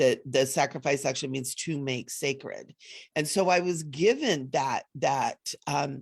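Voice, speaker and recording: A woman speaks at a fairly slow pace in a very deep, low pitch. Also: ordinary pitch variation, quiet background. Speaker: spiritual teacher. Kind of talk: live online event talk.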